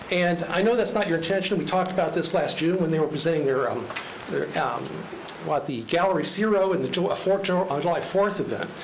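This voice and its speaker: Speaking at a fairly quick pace, a man uses a high pitch with ordinary pitch variation. The room echo is audible, and background noise is noticeable. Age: 60s. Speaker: resident speaking at public comment. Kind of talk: public comment at county meeting. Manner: fast.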